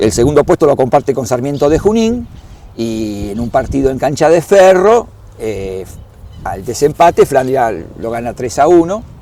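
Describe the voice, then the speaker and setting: Pitched fairly high, a man talks at a moderate pace. His pitch swings very widely. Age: 60s. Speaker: club historian and doctor. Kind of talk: interview. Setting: at a football stadium. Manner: halting, with fillers and repetitions.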